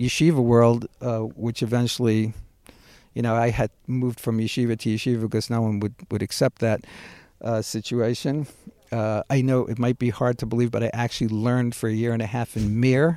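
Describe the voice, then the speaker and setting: In a Brooklyn accent, a man speaks at a fairly quick pace with a medium pitch, a dark, mellow tone and monotone, flat intonation, the sound dry and close with no echo. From Brooklyn, New York. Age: 60s. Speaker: builder and community activist. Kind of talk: casual chat. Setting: outdoors in backyard orchard.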